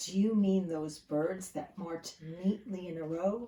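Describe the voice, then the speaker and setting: A woman speaks in a put-on character voice. Her pitch is medium and her pace fairly slow. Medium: read story. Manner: loud, hearty.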